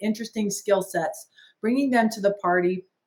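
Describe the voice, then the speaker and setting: This woman has an ordinary speaking voice at a medium pitch. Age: 60s. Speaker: business owner and franchise founder. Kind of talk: podcast interview.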